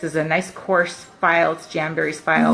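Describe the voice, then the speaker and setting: Fairly quick speech from a woman over music in the background. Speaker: nail wrap consultant. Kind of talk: tutorial. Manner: fast; casual.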